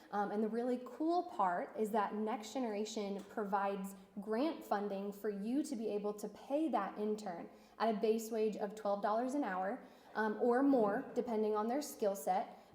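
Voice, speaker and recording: With audible room echo, a woman speaks at a moderate pace, her fairly high pitch showing ordinary pitch variation. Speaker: nonprofit internship coordinator. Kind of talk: presentation at business meeting. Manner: hesitant, many fillers.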